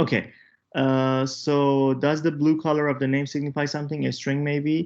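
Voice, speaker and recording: Against a quiet background, a man with a fairly high pitch speaks at a fairly slow pace. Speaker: workshop instructor. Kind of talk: online tutorial workshop. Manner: halting.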